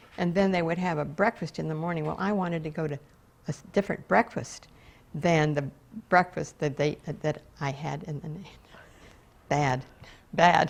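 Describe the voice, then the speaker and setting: Speaking at a moderate pace with an American accent, a woman uses a very deep, low pitch and ordinary pitch variation, leaving long, frequent pauses. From West Palm Beach, Florida. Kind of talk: interview answer.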